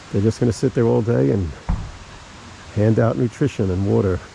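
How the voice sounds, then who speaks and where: Over noticeable background noise, a man with a fairly low voice talks fairly quickly, his pitch swinging very widely. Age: 60s. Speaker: travel vlogger. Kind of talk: outdoor travel vlog narration. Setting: outdoors on a hiking trail. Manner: casual.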